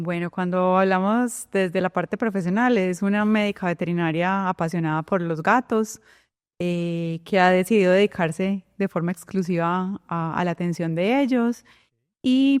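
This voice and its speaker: A woman with a Colombian paisa accent speaks at a fairly slow pace, medium in pitch with ordinary pitch variation. The sound is dry and close with no echo, over a quiet background. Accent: Colombian (paisa) sing-song. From Colombia, Medellín. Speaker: veterinarian. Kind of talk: interview.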